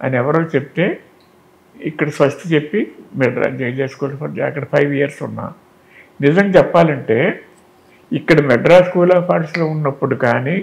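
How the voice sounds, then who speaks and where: A fairly high-pitched man's voice with vocal fry and ordinary pitch variation. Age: 80s+. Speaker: lyricist. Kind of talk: interview answer.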